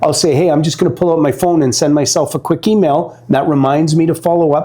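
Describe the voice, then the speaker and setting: Over noticeable background noise, a man speaks at a very fast pace and fairly high pitch, his loudness very even. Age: 60s. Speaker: networking expert. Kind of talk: interview advice chat. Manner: animated.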